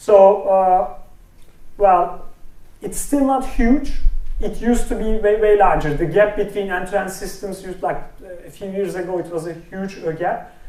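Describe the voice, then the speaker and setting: A man's high-pitched voice with a Turkish accent at a moderate pace, with ordinary pitch variation, big swings in loudness, audible room echo and noticeable background noise. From Turkey. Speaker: speech recognition researcher. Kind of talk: technical talk with live demo. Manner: halting, many fillers.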